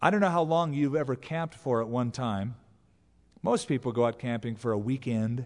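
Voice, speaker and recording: A plain, everyday voice from a man, medium in pitch, moderately paced, its pitch varying in an ordinary way. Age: 20s. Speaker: pastor. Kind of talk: sermon. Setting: church.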